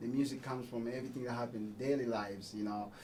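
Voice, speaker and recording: Here a man speaks with a dark, mellow tone. Echo from the room is audible. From Congo. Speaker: musician. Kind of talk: radio interview. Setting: radio studio.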